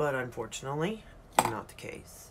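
A woman talks fairly slowly while noticeable background noise is present. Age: 40s. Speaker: beauty YouTuber. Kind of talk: casual makeup tutorial. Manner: animated. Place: home room. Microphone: phone near.

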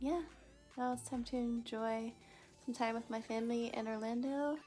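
A woman with ordinary pitch variation, clear music in the background. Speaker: vlogger. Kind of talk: casual vlog chat. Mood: happy and relaxed. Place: home room. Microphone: phone near.

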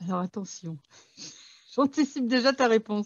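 This woman's voice is high-pitched, and her intonation is lively. She speaks at a moderate pace. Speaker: author and channel host. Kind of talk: interview.

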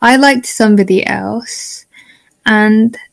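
With a British accent, a woman speaks at a fairly high pitch and with fairly even intonation. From UK. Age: young. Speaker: student. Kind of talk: casual chat. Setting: video call.

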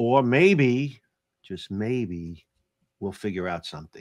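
Slowly and with lively intonation, a man speaks in a fairly low pitch with a slightly mellow tone.

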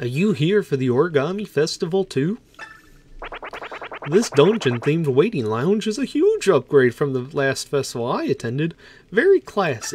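Over light background noise, a man puts on a character voice at a fairly high pitch. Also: moderate pace. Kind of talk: friendly, folksy.

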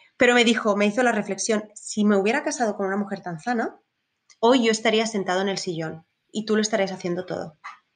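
A woman with ordinary pitch variation. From Spain. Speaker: safari tour operator. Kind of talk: interview.

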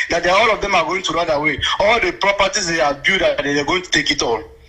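Over noticeable background noise, a man with a Nigerian accent speaks at a very fast pace in a high, raised, projected voice. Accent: Nigerian Igbo English. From Nigeria, Anambra State. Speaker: radio call-in listener. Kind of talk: phone-in call.

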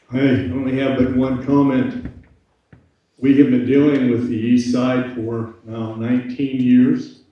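A man at a medium pitch speaks at a fairly slow pace with monotone, flat intonation and audible room echo. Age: 70s. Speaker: city council member. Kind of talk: council meeting remarks.

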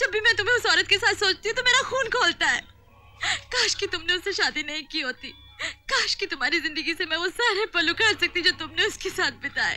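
At a fairly slow pace, a woman speaks in a raised, projected voice, the sound dry with no echo and faint music in the background. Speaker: film actress in a dramatic scene. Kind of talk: dramatic film dialogue. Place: forest.

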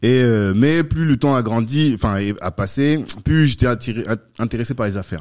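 Over a quiet background, a man talks at a fairly low pitch with lively intonation. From France, Paris suburbs (cité), born Central African Republic; France. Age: 40s. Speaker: entrepreneur, network co-founder; podcast guest. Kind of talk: casual interview. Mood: relaxed, earnest. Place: studio. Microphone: studio mic.

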